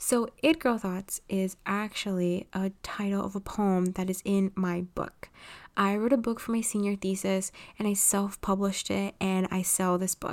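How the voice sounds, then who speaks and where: A woman with an American accent speaks at a fairly slow pace and medium pitch, her intonation fairly even, on a very clean recording with a silent background. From Los Angeles, California. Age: 20s. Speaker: podcast host and writer. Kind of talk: solo monologue podcast.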